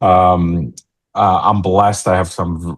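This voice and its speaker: A man with a New York accent speaks at a fairly slow pace. His pitch is very deep and low. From New York City. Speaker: tech company CEO. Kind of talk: podcast interview. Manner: casual, halting.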